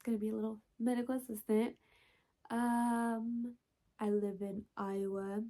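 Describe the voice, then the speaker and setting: A woman speaks at a moderate pace with a fairly high pitch, a dark, mellow tone and fairly even intonation. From Texas. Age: 20s. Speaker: book vlogger. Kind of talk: casual chat. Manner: casual, hesitant with many fillers.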